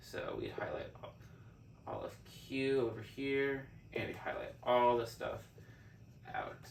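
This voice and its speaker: A man talks at a fairly slow pace, leaving long, frequent pauses. Noticeable background noise and audible room echo fill the recording. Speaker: math teacher or tutor. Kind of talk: tutorial. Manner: halting.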